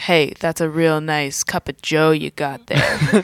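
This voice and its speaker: A put-on character voice, gruff and middle-pitched, speaks at a fairly slow pace. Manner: casual, a bit menacing.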